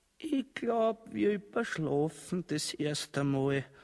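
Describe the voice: Put-on character voice with vocal fry, a slightly mellow tone, lively intonation and a slow pace. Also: man, fairly high pitch for a man.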